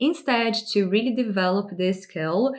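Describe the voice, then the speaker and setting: A woman with a non-native accent speaks at a very slow pace. Her pitch is medium, with ordinary pitch variation. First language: not English. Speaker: lifestyle and personal growth YouTuber. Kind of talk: direct-to-camera advice talk.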